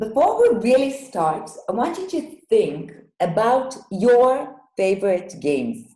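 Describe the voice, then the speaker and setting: With an Israeli accent, a woman talks at a fairly slow pace in a fairly high voice with very wide pitch swings, and the room echo is audible. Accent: non-native English, Hebrew-speaking. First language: Hebrew. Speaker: teacher trainer, workshop leader. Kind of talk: online workshop. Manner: halting, many fillers.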